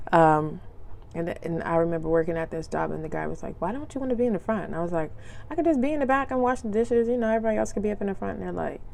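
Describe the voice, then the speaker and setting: Very fast and with very wide pitch swings, a woman speaks amid audible room echo. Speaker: podcast host. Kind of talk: casual monologue podcast. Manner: casual, filler-heavy.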